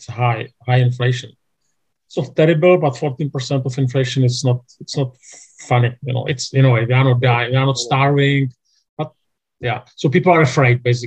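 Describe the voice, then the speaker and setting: A man speaks with a Czech accent at a moderate pace. His voice is somewhat breathy and his intonation fairly even. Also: medium pitch for a man. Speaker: church denomination leader. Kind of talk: interview. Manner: halting.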